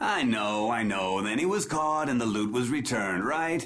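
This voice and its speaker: A man's put-on character voice at a medium pitch, with lively intonation, very even loudness and a moderate pace. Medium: video game. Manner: pompous.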